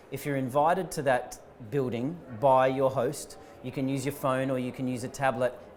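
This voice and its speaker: A man speaks at a medium pitch with fairly even intonation. Audible room echo surrounds his voice. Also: moderate pace. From Australia. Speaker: startup founder and CEO. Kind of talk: conference interview. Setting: live conference stream.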